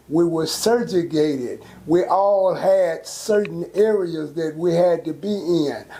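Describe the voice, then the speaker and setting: Over noticeable background noise, a man with a high pitch speaks at a very slow pace with fairly even intonation. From Texas, Fort Worth. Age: 70s. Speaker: local elder. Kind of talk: interview.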